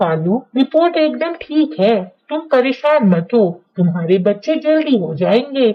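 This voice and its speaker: This is a cartoonish character voice with a fairly high pitch. It swings very widely in pitch at a moderate pace. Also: female-sounding voice. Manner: calm, reassuring.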